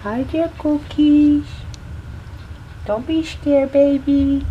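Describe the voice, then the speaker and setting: Putting on a character voice, a man speaks extremely high and very slowly in a soothing tone over clear background noise. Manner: cutesy, soothing.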